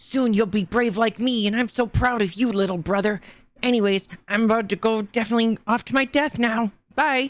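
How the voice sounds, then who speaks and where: A put-on character voice, fairly high in pitch, moves at a fairly quick pace. The recording is very clean, with a silent background. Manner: earnest, heroic, proud.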